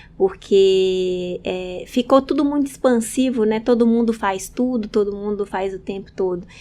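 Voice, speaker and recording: A woman in a northern Minas Gerais accent, dark and mellow in tone, at a fairly slow pace with hardly any pauses. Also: medium pitch for a woman, ordinary pitch variation. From northern Minas Gerais, Brazil (Montes Claros region). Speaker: hairdresser. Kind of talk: interview conversation. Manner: halting, many fillers.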